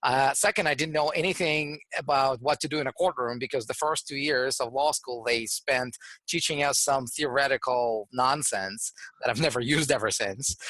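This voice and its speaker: A man with a Russian accent, fairly high-pitched, with ordinary pitch variation, at a moderate pace, in a dry, close sound with no echo. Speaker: trademark entrepreneur and lawyer. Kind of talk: interview. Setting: studio.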